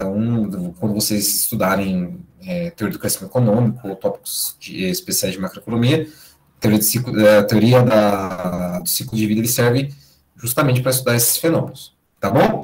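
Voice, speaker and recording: Somewhat breathy, a man at medium pitch speaks at a moderate pace with lively intonation. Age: 30s. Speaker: university lecturer. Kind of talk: lecture.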